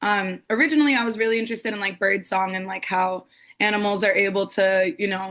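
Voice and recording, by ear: A woman with an American accent speaks at a fairly quick pace and a medium pitch. Her tone is fairly bright and her intonation fairly even.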